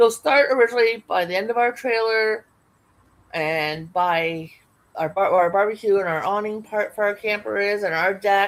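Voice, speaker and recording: A woman's normal speaking voice, medium in pitch, with ordinary pitch variation at a moderate pace. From Canada. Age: 50s. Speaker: livestream crafter. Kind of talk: casual chat.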